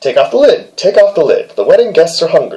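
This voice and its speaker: A man puts on a character voice and talks at a fairly quick pace. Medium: read story.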